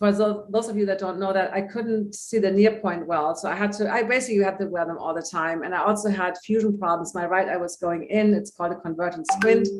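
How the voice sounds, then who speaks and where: A woman talking at a very fast pace with hardly any pauses and fairly even intonation, over noticeable background noise. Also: medium pitch for a woman. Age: 60s. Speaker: holistic vision coach. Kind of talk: interview.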